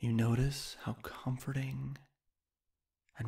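At a very slow pace, a man speaks in a monotone, flat intonation. His voice is somewhat breathy. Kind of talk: guided meditation. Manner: slow, soothing, calm.

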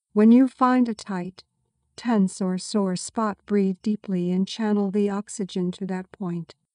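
A woman uses an ordinary speaking voice with medium pitch and fairly even intonation. The sound is dry and close with no echo, over a quiet background. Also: fairly slow pace. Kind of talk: guided meditation. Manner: slow, calm, soothing, with long pauses between breath cues; gentle, steady and soft-spoken.

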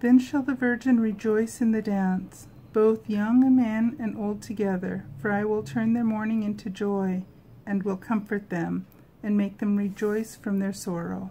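A dark, mellow, somewhat breathy tone at a fairly slow pace with fairly even intonation, over light background noise. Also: woman, medium pitch for a woman. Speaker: prayer video creator. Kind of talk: fervent personal prayer after scripture reading. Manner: heartfelt, earnest, devotional. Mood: calm, gentle, devotional. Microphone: phone near.

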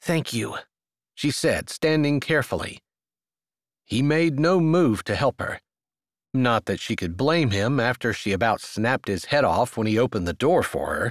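In a very clean recording with a silent background and a dry, close sound with no echo, a man with an unremarkable speaking voice talks at a medium pitch with lively intonation. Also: moderate pace. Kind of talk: audiobook reading of a romance novel, narration with character dialogue.

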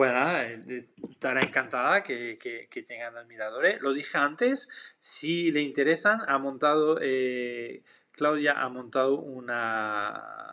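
Against a quiet background, a man with a French accent talks very slowly in a bright, sharp tone. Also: ordinary pitch variation. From France. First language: French (speaking Spanish). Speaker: photographer. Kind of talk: live stream Q&A; live stream Q&A answer. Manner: hesitant with fillers. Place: home room. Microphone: webcam.

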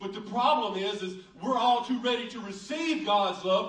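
A man with a Southern US accent talks at an extremely high pitch and a very slow pace with lively intonation. The background is quiet, with audible room echo. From United States. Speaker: pastor. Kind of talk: sermon preached to a congregation. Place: church.

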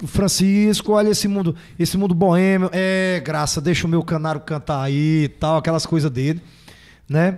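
Speaking at a moderate pace, a man with a high pitch keeps his intonation fairly even. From Fortaleza, Ceará, Brazil. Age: 40s. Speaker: forró singer. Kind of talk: casual chat.

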